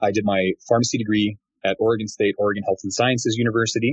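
Fairly low-pitched male speech with an American accent, fairly quick in pace and fairly even in intonation. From Glendale, California. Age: 30s. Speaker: pharmacist and pharmacy owner. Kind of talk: interview.

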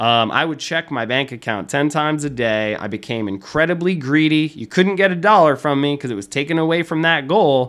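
Fairly quick and with hardly any pauses, a man talks at a fairly high pitch. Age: 20s. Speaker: online preacher. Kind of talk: personal testimony. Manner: calm; many fillers and repetitions.

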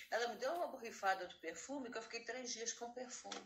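Her intonation is lively, and her pitch sits fairly high for a woman. Audible room echo surrounds the voice. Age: 60s. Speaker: retired saleswoman, artisan. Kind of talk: casual chat.

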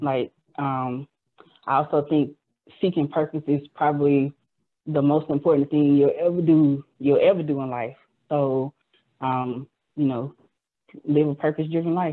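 A woman's very deep, low voice, monotone and flat, at a fairly slow pace with long, frequent pauses. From Montgomery, Alabama. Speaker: clothing designer and blogger. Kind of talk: casual chat.

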